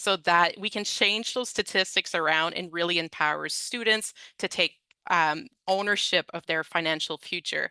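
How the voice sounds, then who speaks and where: Speaking at a moderate pace with a non-native accent, a woman with a fairly low pitch and a bright, sharp tone shows ordinary pitch variation in a dry, close recording with no echo and a quiet background. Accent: Francophone. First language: French. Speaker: education consultant presenter. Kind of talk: webinar presentation. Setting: online webinar. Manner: conversational, with fillers.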